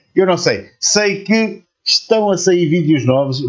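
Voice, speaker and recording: A man with a European Portuguese accent speaks at a high pitch and a fairly slow pace, with lively intonation, against a quiet background. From Portugal. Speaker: YouTube reaction channel host. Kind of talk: video reaction commentary. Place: home room.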